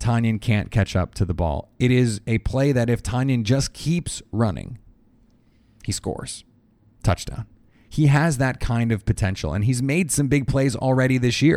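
A man at a moderate pace and medium pitch, with ordinary pitch variation, on a very clean recording with a silent background. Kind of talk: sports commentary. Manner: animated play-by-play style, narrating the play as it unfolds.

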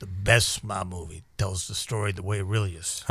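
Doing a put-on character voice, a man speaks at a moderate pace in a fairly low pitch with fairly even intonation and big swings in loudness. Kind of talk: gangster talk.

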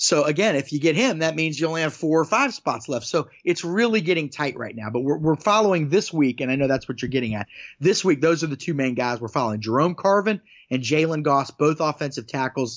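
A man with a plain, everyday voice, a fairly high pitch, lively intonation and a fairly quick pace. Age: 40s. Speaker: recruiting reporter. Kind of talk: casual sports podcast discussion.

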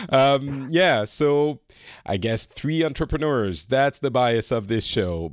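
A man with a French accent talks fairly slowly with lively intonation, recorded dry and close with no echo against a quiet background. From France. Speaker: podcast host. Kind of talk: casual discussion.

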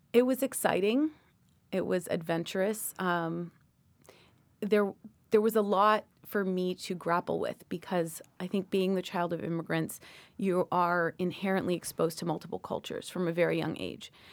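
A plain, everyday voice from a woman with a Canadian accent, medium pitch and ordinary pitch variation at a moderate pace, on a very clean recording with a silent background. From Canada, Toronto. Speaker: lawyer and professor. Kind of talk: interview.

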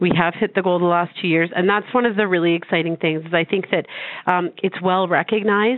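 A woman with a normal speaking voice talks fairly quickly at a fairly low pitch, with fairly even intonation and very even loudness. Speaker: charity representative. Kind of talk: radio interview.

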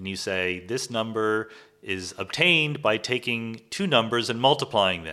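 A man talks in a plain, everyday voice. His pitch is medium and his pace moderate. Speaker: cosmologist and physics professor. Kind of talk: interview conversation about science and philosophy.

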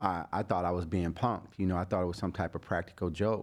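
A man with a very deep, low pitch speaks in an American accent. His intonation stays fairly even against a quiet background. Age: 40s. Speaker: barber and cancer survivor. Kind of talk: interview testimony.

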